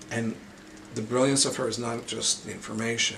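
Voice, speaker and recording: Fairly quick and fairly even in intonation, a man speaks at a medium pitch amid audible room echo and noticeable background noise. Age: 60s. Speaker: caregiver. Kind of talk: interview testimony.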